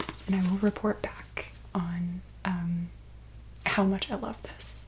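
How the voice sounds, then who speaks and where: A woman speaks softly. Noticeable background noise is present. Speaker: ASMR artist. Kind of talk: soft-spoken ASMR book talk. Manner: soft-spoken.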